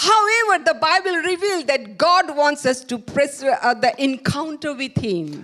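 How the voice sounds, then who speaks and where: Delivered at a very slow pace with hardly any pauses, the voice swings very widely in pitch. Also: woman, high pitch for a woman. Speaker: preacher. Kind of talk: sermon. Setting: church with live stream. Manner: halting.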